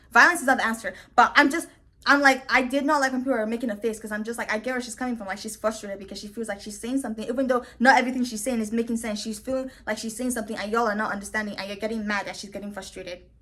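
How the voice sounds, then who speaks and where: A woman's animated, fairly high voice at a very fast pace, with big swings in loudness and noticeable background noise. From Nigeria. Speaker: reality TV commentator (YouTuber). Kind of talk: casual commentary monologue.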